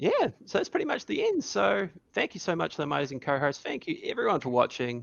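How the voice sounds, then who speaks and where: Talking at a very fast pace, a man speaks in a New Zealand accent. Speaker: podcast co-host. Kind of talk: casual chat. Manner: animated.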